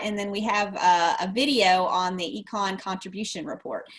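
The woman's pace is moderate. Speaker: extension show co-host. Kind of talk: live webinar hosting. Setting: video call. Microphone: webcam.

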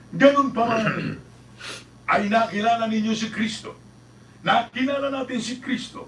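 Over noticeable background noise, the speaker's animated delivery moves at a fairly slow pace, broken by long, frequent pauses. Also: man, extremely high pitch for a man. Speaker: preacher. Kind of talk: sermon. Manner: earnest, emphatic preaching, repeating phrases for emphasis; rhetorical questions and answers, animated.

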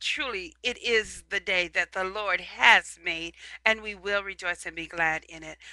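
A woman's bright, sharp tone with ordinary pitch variation, dry with no echo, against a quiet background. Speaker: evangelist. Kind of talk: prayer and sermon. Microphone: headset.

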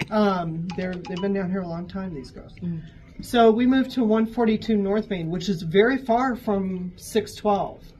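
A woman speaks at a fairly slow pace with an American accent, her pitch varying in an ordinary way. Her loudness swings widely, and music plays in the background. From US Midwest. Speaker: shop worker telling ghost stories. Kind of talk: ghost story telling, told in a conversational first-person way. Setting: on-site interview in a gallery, with others listening. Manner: animated, vivid, suspenseful, with laughs and asides. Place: shop. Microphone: camera far.

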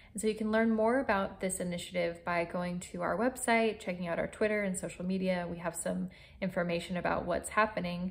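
A woman talks at a fairly quick pace. Her intonation is fairly even. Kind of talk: informational talk to camera. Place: home room. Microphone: phone near.

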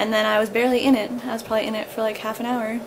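A woman speaks over noticeable background noise. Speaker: new mother vlogger. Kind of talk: casual vlog chat. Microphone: phone near.

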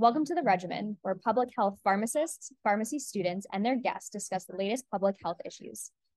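In an American accent, an ordinary speaking voice moves at a fairly quick pace with ordinary pitch variation. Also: woman. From Long Island, New York. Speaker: pharmacy student, podcast co-host. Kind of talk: scripted podcast trailer.

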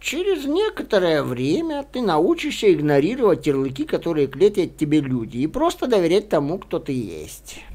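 Hardly pausing, a man performs a put-on character voice. His pitch sits high. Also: moderate pace. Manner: fast, talkative.

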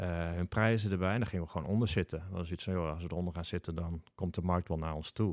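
In a very clean recording with a silent background and a dry, close sound with no echo, a man with a very deep, low pitch speaks at a very fast pace with hardly any pauses. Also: fairly even intonation. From northern Netherlands, Groningen. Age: 40s. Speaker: entrepreneur and fellow podcaster. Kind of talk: podcast interview. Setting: studio.

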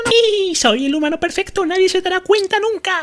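A put-on character voice sits at an extremely high pitch. It moves at a moderate pace. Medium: voice reel. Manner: shrill, frantic, excited.

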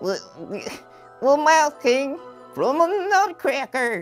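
With faint music in the background, a cartoonish character voice speaks at a very slow pace and a high pitch, with very wide pitch swings. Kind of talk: comedic puppet show dialogue.

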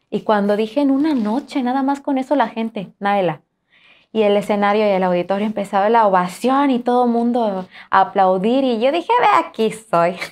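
Ordinary pitch variation colors a woman's speech at a moderate speed. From Juchitán, Oaxaca, Mexico; Oaxaca, Mexico. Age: young. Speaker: singer; interview guest. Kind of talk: interview. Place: studio. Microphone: lapel.

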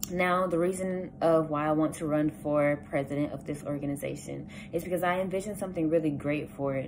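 The speaker goes at a fairly quick pace with hardly any pauses and fairly even intonation. Noticeable background noise runs underneath. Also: woman, very deep, low pitch for a woman. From US South, south Georgia. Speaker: student. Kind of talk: campaign speech; campaign message, casual vlog chat. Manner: casual, with frequent filler words. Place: home room. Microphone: phone near.

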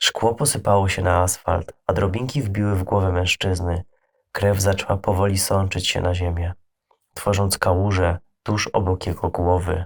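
Very deep and low, a man's voice comes across as somewhat breathy. Its loudness is very even and its intonation fairly even. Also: very clean recording, silent background. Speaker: creepypasta narrator. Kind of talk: scripted horror story narration, first-person creepypasta reading. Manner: hushed, slow, ominous storytelling tone with suspenseful pauses.

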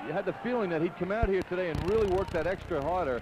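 The speech moves at a fairly quick pace with ordinary pitch variation. Background noise is noticeable. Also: man. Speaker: basketball color commentator. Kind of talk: live sports analysis.

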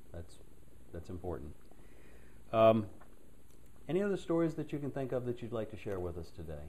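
This man has a dark, mellow tone at a medium pitch, somewhat breathy, with very wide pitch swings. He talks at a fairly quick pace broken by long, frequent pauses. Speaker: oral history interviewer. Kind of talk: oral history interview. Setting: at home.

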